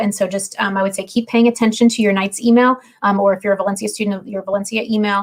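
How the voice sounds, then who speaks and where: This woman talks at a very fast pace and medium pitch. Her intonation is fairly even. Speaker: university housing staff. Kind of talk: livestream Q&A. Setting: video livestream.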